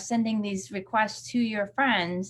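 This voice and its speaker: The voice is somewhat breathy, moving at a fairly slow pace with ordinary pitch variation, on a very clean recording with a silent background. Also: woman. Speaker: community tech educator. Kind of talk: live-stream tutorial. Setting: live video stream with screen share.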